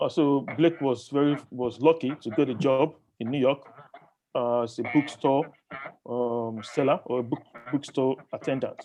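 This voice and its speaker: A man at a moderate pace, fairly high in pitch, with fairly even intonation. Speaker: book reviewer. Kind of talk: book review talk to a group. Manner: halting, many fillers.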